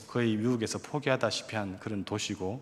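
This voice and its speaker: A man speaks with a strong Gyeongsang accent. His pitch is medium, with ordinary pitch variation. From Korea, Gyeongsang region. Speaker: evangelist, missionary. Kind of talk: testimony.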